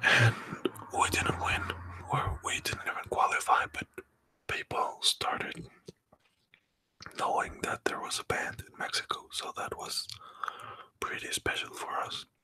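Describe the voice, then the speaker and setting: A man whispering at a fairly slow pace, with long, frequent pauses and big swings in loudness. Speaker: pipe band drummer. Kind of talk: ASMR story time. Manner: soft-spoken, whispered.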